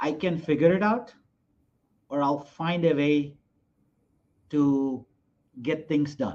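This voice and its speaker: Speaking with a Gujarati accent, a man goes at a very slow pace in a fairly high voice, leaving long, frequent pauses. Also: ordinary pitch variation. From India (Gujarat). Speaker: hotel investor. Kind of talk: interview.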